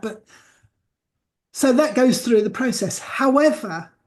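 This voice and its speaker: Moderately paced and somewhat breathy, the voice shows ordinary pitch variation. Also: woman. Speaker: celebrant and business trainer. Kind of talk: tutorial.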